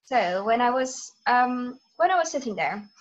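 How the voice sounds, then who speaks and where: Speaking with a Dutch accent, a woman has a high pitch. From Netherlands. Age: 20s. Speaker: student teacher. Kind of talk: casual interview. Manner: hesitant, many fillers.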